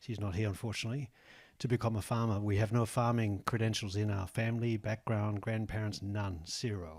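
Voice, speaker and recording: Speaking with an Australian accent, a man uses a fairly low pitch at a fairly quick pace. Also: fairly even intonation, very clean recording, silent background. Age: 60s. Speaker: egg farmer. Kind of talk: audience comment at panel. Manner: halting.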